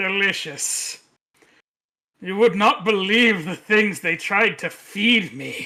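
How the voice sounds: A man uses a put-on character voice, high-pitched and raised to project. He delivers it at a very slow pace.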